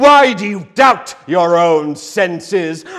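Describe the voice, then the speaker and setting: Using a put-on character voice, a man speaks at a very slow pace with a high pitch. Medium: stage play. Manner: solemn, deliberate.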